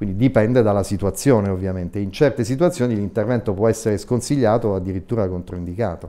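A man talks at a very fast pace with hardly any pauses. His fairly low pitch has ordinary variation and a dark, mellow tone. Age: 60s. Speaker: eye surgeon; guest. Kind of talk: TV interview; interview answer. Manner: hesitant, frequent fillers. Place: studio. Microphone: lapel.

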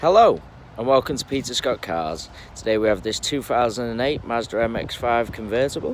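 The recording is dry with no echo, though light background noise can be heard. A man speaks at a moderate pace with ordinary pitch variation. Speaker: car salesperson. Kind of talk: product walkaround commentary. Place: street. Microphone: phone near.

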